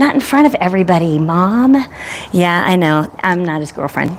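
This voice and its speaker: A loud woman speaks at a moderate pace in an animated tone, her pitch swinging very widely. Noticeable background noise sits behind her. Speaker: veterinarian and horse rescuer. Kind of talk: live stream horse training demonstration. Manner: loud, animated.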